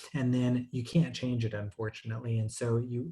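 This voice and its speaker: With a dark, mellow tone and somewhat breathy delivery, a man speaks at a medium pitch and a fairly quick pace. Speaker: webinar presenter. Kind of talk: tutorial. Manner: many fillers and hesitations.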